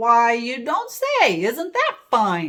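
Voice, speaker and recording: A woman's raised, projected put-on character voice, high in pitch. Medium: read story. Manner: smug, menacing.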